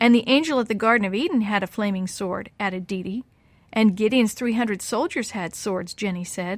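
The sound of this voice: An unforced reading voice carries the text, its pitch moving by ordinary degrees.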